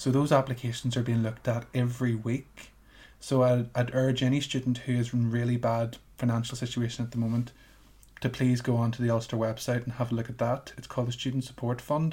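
A man talks at a fairly quick pace with a medium pitch and a somewhat breathy, dark, mellow tone. His intonation stays monotone and flat. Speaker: students' union president. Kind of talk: casual interview chat. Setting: remote recording from home. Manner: hesitant, filler-heavy, repeats words.

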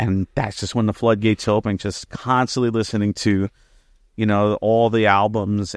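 A man with an American accent speaks in a normal speaking voice at a moderate pace and fairly low pitch, the sound dry and close with no echo against a quiet background. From New Jersey. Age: 30s. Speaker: music teacher and vocalist. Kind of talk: casual chat.

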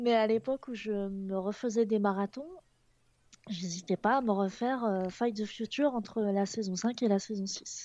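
Against a quiet background, a woman speaks fairly slowly in a fairly high pitch, with a dark, mellow tone and fairly even intonation. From Picardy, northern France. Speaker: video and motion designer. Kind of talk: casual chat.

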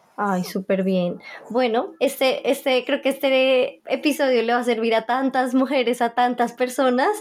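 Noticeable background noise sits behind a woman speaking at a high pitch and a fairly slow pace. Her pitch varies in an ordinary way and her loudness stays very even. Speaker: podcast host. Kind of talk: casual interview.

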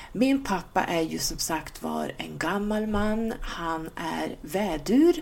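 A woman's voice at a very slow pace with hardly any pauses. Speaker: podcast host. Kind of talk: casual podcast talk.

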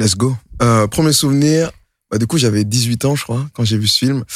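A man talks at a fairly quick pace in a plain, everyday voice. His medium pitch stays fairly even in intonation. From Montreuil, Paris suburbs. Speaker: rapper. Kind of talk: casual chat. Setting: studio.

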